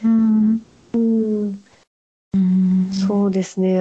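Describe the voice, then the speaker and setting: A very slow, somewhat breathy voice with a dark, mellow tone. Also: woman. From Japan. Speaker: calligrapher and stationery shop owner. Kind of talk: interview.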